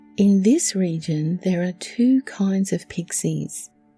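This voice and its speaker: In an Australian accent, a woman speaks quietly and at a very slow pace, her tone calm and her pitch medium. Music plays in the background. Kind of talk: relaxing true story narration. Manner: quiet, calm.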